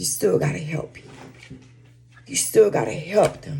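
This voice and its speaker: Noticeable background noise sits behind speech delivered at a moderate tempo. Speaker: social media vlogger giving relationship advice. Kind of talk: casual monologue to camera.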